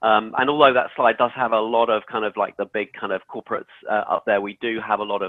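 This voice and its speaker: In an English accent, a man talks at a fairly quick pace with monotone, flat intonation. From England. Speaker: sustainability expert, former building services engineer. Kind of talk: webinar presentation. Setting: live webinar. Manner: hesitant, many fillers.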